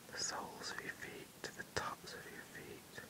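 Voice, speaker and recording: Over noticeable background noise, the whispering unfolds at a fairly slow pace. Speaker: ASMR relaxation guide. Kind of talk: sleep relaxation guided meditation. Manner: slow, soft-spoken.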